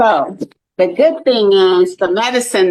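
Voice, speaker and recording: This woman has an unremarkable speaking voice, delivered at a fairly slow pace with fairly even intonation. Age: 60s. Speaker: lupus advocate. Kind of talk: testimony.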